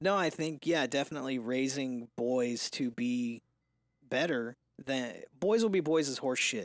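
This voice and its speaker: This is an ordinary speaking voice at a fairly slow pace with ordinary pitch variation, recorded very cleanly against a silent background with a dry, close sound and no echo. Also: man, medium pitch for a man. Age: 20s. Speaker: podcast co-host, father. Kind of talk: casual chat.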